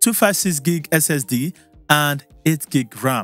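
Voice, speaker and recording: Over faint background music, a man talks with ordinary pitch variation in a dry sound with no echo. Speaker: tech reviewer. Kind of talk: product review vlog. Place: studio. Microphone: studio mic.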